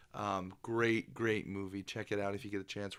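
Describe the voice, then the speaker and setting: This man's pitch sits fairly low. The recording is very clean, with a silent background. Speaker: podcast co-host. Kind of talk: casual chat. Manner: halting, many fillers.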